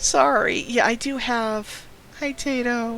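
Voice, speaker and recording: The speaker is a man. Music plays in the background. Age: 30s. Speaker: streamer. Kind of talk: casual chat. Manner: halting.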